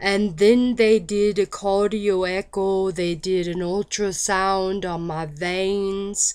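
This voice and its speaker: A woman at a very slow pace in a monotone, flat intonation, on a very clean recording with a silent background. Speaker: patient recovering from medication side effect. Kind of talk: personal talk to camera. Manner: slow, halting.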